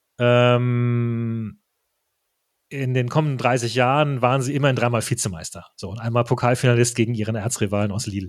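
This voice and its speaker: This man uses a normal speaking voice, medium in pitch, moderately paced and fairly even in intonation. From Germany. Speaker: football podcaster. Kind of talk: casual chat.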